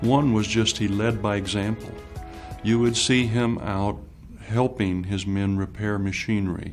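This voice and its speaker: Over background music, a man's fairly low voice keeps a fairly even intonation. He talks fairly slowly. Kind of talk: interview answer.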